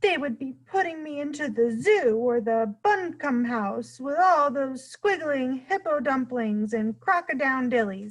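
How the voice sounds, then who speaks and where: In a put-on character voice, a woman talks at a high pitch and a moderate pace with hardly any pauses. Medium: read story. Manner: mangled grammar, playful made-up words.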